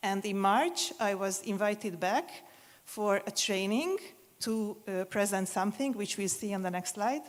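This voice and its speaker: At a fairly slow pace, a woman with a Hungarian accent speaks at medium pitch with ordinary pitch variation. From Hungary, Budapest. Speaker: museum consultant. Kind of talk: conference presentation.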